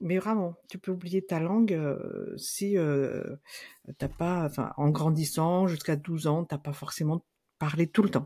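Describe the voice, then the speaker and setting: A woman's very slow, fairly low-pitched voice with a dark, mellow tone and ordinary pitch variation, on a very clean recording with a silent background. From Madagascar. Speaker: psychologist and Malagasy language teacher. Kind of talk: casual interview.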